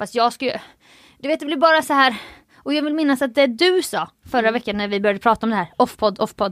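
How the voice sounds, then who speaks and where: A woman talks at a very fast pace in a high pitch with lively intonation. The recording is very clean, with a silent background. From Halmstad, southwest Sweden. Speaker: podcast co-host. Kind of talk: casual chat.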